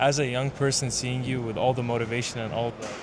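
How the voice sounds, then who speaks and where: A man with an American accent talks fairly quickly in a monotone with flat intonation. Noticeable background noise and audible room echo accompany him. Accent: American-sounding English. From Yemen / Saudi Arabia. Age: 20s. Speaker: computer science student. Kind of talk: casual chat. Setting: developer conference hall.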